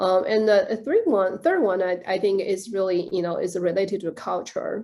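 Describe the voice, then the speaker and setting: Over a quiet background, a woman with a Chinese accent talks at a moderate pace. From China. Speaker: director of a professional association. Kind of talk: interview. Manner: halting, many fillers.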